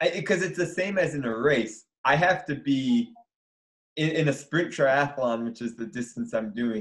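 A man with an American accent and an unremarkable speaking voice, fairly high pitch, lively intonation and a moderate pace. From Michigan. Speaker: sports psychology professor and paralympian. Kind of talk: interview.

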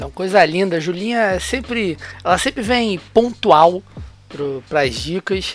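A man with a high voice speaks at a moderate pace. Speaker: football podcast host. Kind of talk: casual chat.

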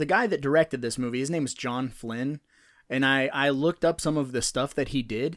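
A man with a plain, everyday voice and a fairly high pitch uses ordinary pitch variation on a very clean recording with a silent background. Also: fairly quick pace. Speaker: podcast host. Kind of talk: casual banter about a movie. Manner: casual, profane, joking.

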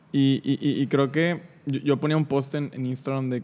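A man with a plain, everyday voice speaks at a medium pitch and a moderate pace. His intonation stays fairly even. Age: 20s. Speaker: podcast host. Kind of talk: casual chat.

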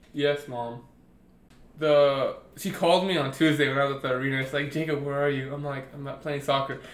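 Over audible room echo, a man talks at a fairly quick pace with a fairly high pitch and monotone, flat intonation. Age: 20s. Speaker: podcast co-host. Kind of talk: casual chat.

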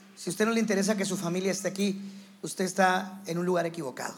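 Very fast speech comes from a man with a high pitch and fairly even intonation. Audible room echo surrounds him. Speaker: visiting pastor and teacher. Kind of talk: sermon. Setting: church with congregation.

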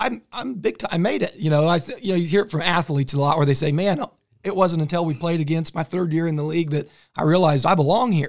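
At a very fast pace, a man with an American accent speaks in a high voice with ordinary pitch variation. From Kansas, US Midwest. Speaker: podcast host. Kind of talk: interview.

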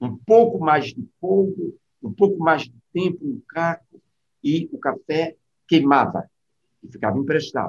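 A man's high-pitched voice at a fairly slow pace, with long, frequent pauses, big swings in loudness and very wide pitch swings. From Brazil, Northeast (sertão, Crato). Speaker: writer and physician. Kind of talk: interview conversation.

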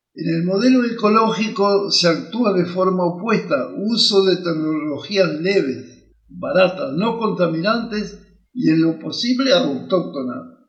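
A man's high-pitched voice at a fairly slow pace, with lively intonation, hardly any pauses and audible room echo. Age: 80s+. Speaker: professor and educational podcaster. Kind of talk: lecture. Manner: halting.

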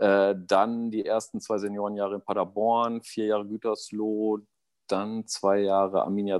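Very slow speech comes through in a dry, close sound with no echo. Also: man. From East Westphalia, Germany. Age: 40s. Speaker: amateur football coach. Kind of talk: casual chat.

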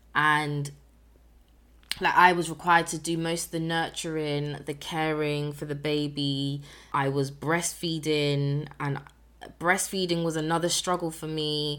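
With a British accent, a woman speaks fairly slowly at a very deep, low pitch, her intonation monotone and flat. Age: 20s. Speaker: podcast host, single mother. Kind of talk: personal storytelling monologue. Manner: casual.

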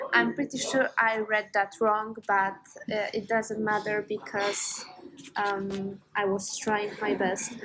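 Over noticeable background noise, a woman speaks at a very slow pace in a fairly high, monotone, flat voice. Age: 20s. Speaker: podcast co-host. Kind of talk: casual chat. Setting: cafe.

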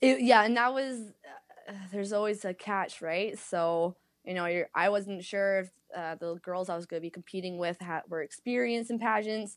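This woman has a Canadian accent and a normal speaking voice. Her pitch is medium with ordinary variation, and her pace is moderate. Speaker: pageant winner and fitness instructor. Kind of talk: casual interview.

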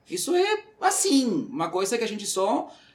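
With noticeable background noise behind him, a man speaks at a fairly slow pace, his pitch swinging very widely. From Uruguay. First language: Spanish (speaking Portuguese). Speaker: recruitment manager. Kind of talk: casual chat.

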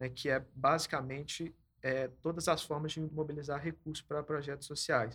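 The man's voice is fairly high for a man, with monotone, flat intonation. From Belo Horizonte, Minas Gerais, Brazil. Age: 20s. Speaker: social program manager. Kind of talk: casual chat.

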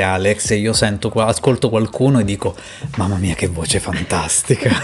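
A man's voice over noticeable background noise. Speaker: podcast host. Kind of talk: casual interview chat.

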